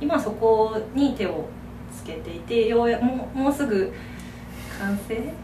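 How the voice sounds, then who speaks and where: A woman's fairly high voice at a very slow pace, with long, frequent pauses, big swings in loudness, audible room echo and noticeable background noise. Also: ordinary pitch variation. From Kyoto, Japan. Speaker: potter. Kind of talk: casual interview chat.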